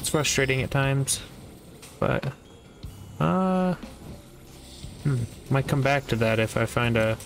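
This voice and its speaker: Music plays in the background as a man speaks at a fairly slow pace and a medium pitch. He leaves long, frequent pauses. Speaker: gaming youtuber. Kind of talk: gameplay commentary. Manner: slurring words; deadpan.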